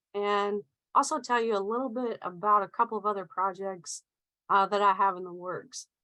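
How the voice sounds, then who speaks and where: A woman with a Southern US accent speaks at a fairly high pitch in a bright, sharp tone, with fairly even intonation. She keeps a moderate pace, and the sound is dry and close with no echo. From US South, Middle Tennessee. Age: 30s. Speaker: author and researcher. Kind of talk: presentation talk. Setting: video call.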